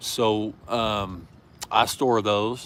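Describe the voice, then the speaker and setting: A man speaks with a Southern US accent. His pitch sits fairly low. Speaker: prepper channel host. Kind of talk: live stream chat. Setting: outdoors in backyard. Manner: casual, hesitant with fillers.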